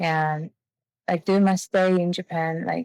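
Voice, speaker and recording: A woman with a Mongolian accent speaks at a moderate pace and a fairly low pitch in a dry, close sound with no echo. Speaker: webinar host, doctoral student. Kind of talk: webinar conversation.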